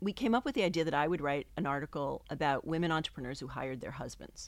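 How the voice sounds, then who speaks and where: A woman speaks at a very fast pace. Her pitch is very deep and low, with ordinary variation. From New England. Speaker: professor. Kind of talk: casual interview.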